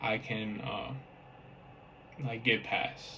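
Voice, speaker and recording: A man speaks over noticeable background noise. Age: 20s. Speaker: vlogger with brain injury. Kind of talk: personal testimony to camera. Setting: talking to a camera. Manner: halting.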